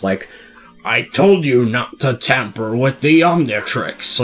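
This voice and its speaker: A put-on character voice at a low-to-middle pitch and a fairly slow pace, with faint music in the background. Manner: scolding, villainous.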